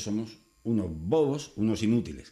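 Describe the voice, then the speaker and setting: Against a quiet background, a man talks at a fairly slow pace. His intonation is lively. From Spain. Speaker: YouTuber. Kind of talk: opinion monologue. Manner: casual. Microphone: webcam.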